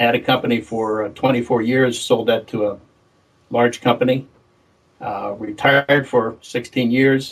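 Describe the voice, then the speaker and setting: A man's voice at medium pitch with monotone, flat intonation. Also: moderate pace. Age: 70s. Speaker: tech company founder. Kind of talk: interview. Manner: halting.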